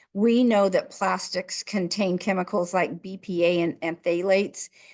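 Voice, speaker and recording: In a normal speaking voice, a woman of medium pitch talks at a fairly slow pace with fairly even intonation against a quiet background. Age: 60s. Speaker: podcast co-host. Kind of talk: casual podcast chat.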